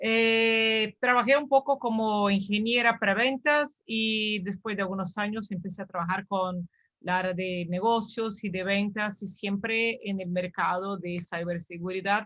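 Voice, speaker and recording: A woman with a Brazilian accent, medium pitch and a bright, sharp tone, at a fairly slow pace with ordinary pitch variation, against a quiet background. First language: Portuguese (speaking Spanish). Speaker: cybersecurity sales professional. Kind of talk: webinar self-introduction.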